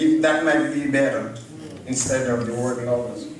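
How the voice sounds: Strong room echo surrounds a man speaking at a moderate pace. His pitch is medium, with ordinary variation.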